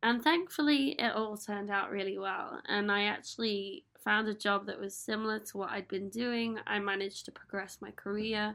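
A woman with an English accent, medium pitch and ordinary pitch variation, at a moderate pace with hardly any pauses. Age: 30s. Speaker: podcast host. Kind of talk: solo podcast monologue. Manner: casual, upbeat.

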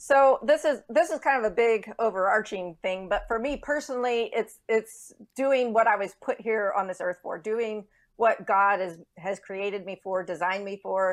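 A woman with an American accent speaks at a moderate pace in a fairly high pitch, with ordinary pitch variation. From Texas. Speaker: author and speaker. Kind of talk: interview. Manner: halting.

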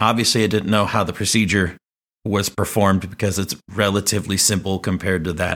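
Speaking at a fairly quick pace, a man with a fairly low pitch keeps his intonation monotone and flat. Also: very clean recording, silent background. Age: 40s. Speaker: teacher and podcast host. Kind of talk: personal storytelling monologue.

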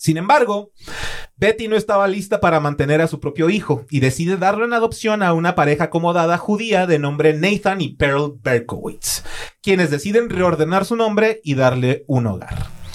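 This man's voice is high-pitched, with lively intonation. He speaks at a moderate pace. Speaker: true crime podcast host. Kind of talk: true-crime narration, read from a script. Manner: grave, measured, storytelling delivery; formal and even, unlike his casual chat.

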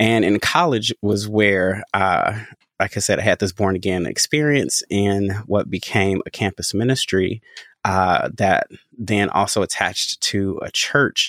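A man uses an unremarkable speaking voice, fairly low in pitch with ordinary pitch variation, at a fairly slow pace. The very clean recording has a silent background and a dry, close sound with no echo. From US Midwest, Chicago. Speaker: pastor and worship leader. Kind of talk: casual chat.

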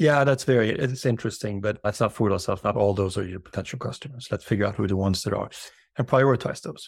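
On a very clean recording with a silent background, a somewhat breathy man with a fairly low pitch talks at a very fast pace with ordinary pitch variation. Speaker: B2B growth strategist. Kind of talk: casual interview chat.

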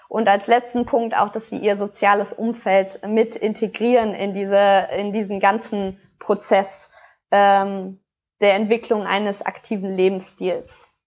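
A voice at a very slow pace with monotone, flat intonation plays over a quiet background. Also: woman, medium pitch for a woman. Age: 20s. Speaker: sport psychologist and researcher. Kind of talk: podcast interview.

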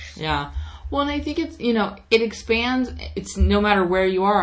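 A woman with a normal speaking voice, medium pitch and a fairly quick pace. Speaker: podcast host. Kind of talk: podcast interview, casual chat.

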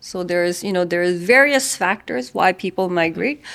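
Heard on a very clean recording with a silent background, a woman with a Korean accent speaks at a medium pitch with lively intonation. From South Korea. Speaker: head of a UN migration agency office. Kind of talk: interview.

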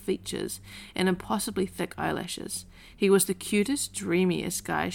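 The intonation stays fairly even. It belongs to an unforced reading voice.

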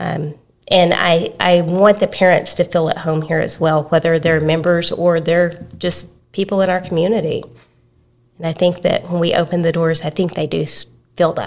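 A woman with an East Texas accent, fairly low pitch, monotone, flat intonation and moderate pace. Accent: East Texas Southern US. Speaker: preschool director. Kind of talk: podcast interview. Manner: soft-spoken.

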